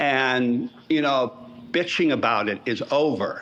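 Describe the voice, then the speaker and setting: A man talks at a fairly slow pace and fairly high pitch. Noticeable background noise sits under his voice. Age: 70s. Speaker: atheist advocacy group member. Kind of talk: podcast interview discussion.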